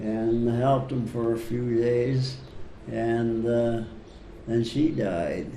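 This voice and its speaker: Noticeable background noise sits behind a man at medium pitch. He speaks at a very slow pace with ordinary pitch variation. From Netherlands. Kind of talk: interview answer. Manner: hesitant, slow.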